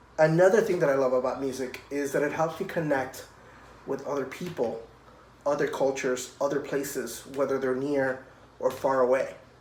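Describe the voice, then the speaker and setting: With a Spanish accent, a man speaks at a moderate pace and fairly high pitch, his intonation fairly even, with audible room echo. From Puerto Rico. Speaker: cellist. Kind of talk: children's music program talk. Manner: friendly, addressing children.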